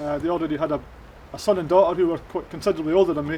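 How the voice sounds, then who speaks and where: In a Shetland accent, a man talks very fast at a high pitch with monotone, flat intonation. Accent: Shetland Scottish. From Shetland, Lerwick. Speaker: former addict giving testimony. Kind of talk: testimony. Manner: halting, many fillers.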